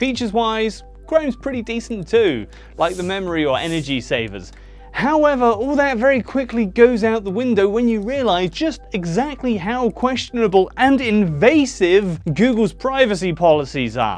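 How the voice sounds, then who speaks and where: Faint music plays in the background while a man speaks at a moderate pace. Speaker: tech reviewer. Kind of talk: scripted tech review commentary. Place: studio. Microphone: lapel.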